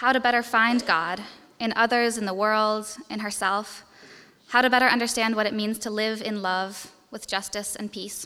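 Speaking at a moderate pace, a woman uses a plain, everyday voice, fairly high in pitch and varying in an ordinary way. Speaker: college student. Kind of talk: speech.

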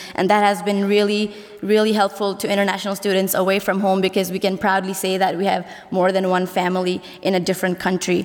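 Speaking very fast at a medium pitch, a woman keeps her intonation monotone and flat and her loudness very even. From Nepal. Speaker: college senior. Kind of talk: speech.

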